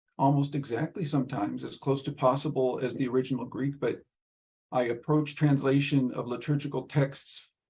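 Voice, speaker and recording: A man's somewhat breathy voice, dark and mellow, fairly high in pitch, with monotone, flat intonation at a moderate pace. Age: 60s. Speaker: Orthodox priest and liturgical translator. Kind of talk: Q&A answer in a virtual event. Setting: video call. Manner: halting, with many fillers.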